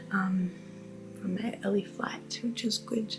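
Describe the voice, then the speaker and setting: A woman speaks at a fairly slow pace with a medium pitch and fairly even intonation. Music plays in the background. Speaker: travel vlogger. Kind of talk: vlog. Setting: apartment.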